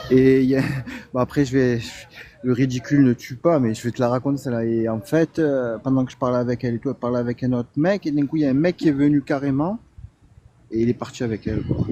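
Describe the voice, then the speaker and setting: A man with a slight Marseille accent talks at a very fast pace, his pitch medium and his intonation fairly even. There is noticeable background noise, and the sound is dry and close with no echo. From Marseille, southern France. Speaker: delivery driver, live-stream guest. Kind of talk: casual chat.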